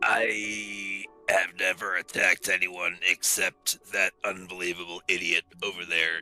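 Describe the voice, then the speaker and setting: A put-on character voice moves at a fairly slow pace while faint music plays in the background. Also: man, very deep, low pitch for a man. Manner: angry, ranting.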